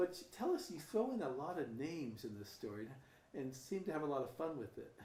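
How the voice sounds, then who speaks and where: The voice moves at a fairly quick pace with very wide pitch swings. Audible room echo and noticeable background noise come through. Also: man, fairly high pitch for a man. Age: 60s. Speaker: podcast host. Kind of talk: casual interview.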